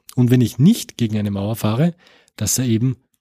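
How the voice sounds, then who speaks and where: A man speaks at a moderate pace and medium pitch, with a somewhat breathy, dark, mellow tone. The recording is very clean, with a silent background and a dry, close sound with no echo. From Austria, Tyrol. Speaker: computer science professor. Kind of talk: interview. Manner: many filler sounds, repeats words.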